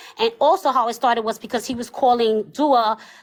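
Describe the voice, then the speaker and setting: A woman speaks with ordinary pitch variation. Her pace is fairly quick. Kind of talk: heated debate. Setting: livestream. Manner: loud.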